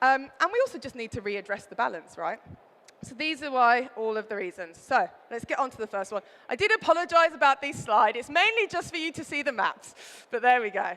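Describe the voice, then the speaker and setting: A woman's raised, projected voice with a Birmingham accent, high in pitch with very wide pitch swings, big swings in loudness and a fairly quick pace, over noticeable background noise. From Birmingham, England. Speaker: wine writer and presenter. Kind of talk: trade show talk. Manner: fast.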